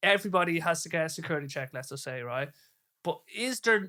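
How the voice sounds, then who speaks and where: On a very clean recording with a silent background, a man speaks at a fairly high pitch in a bright, sharp tone. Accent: Irish. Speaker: podcast host. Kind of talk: casual chat. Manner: halting.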